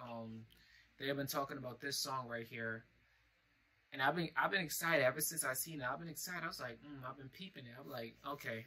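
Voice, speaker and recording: This man's speech moves at a very fast pace. Ordinary pitch variation runs through it. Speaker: reaction video host. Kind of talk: casual vlog chat. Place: home room. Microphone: webcam.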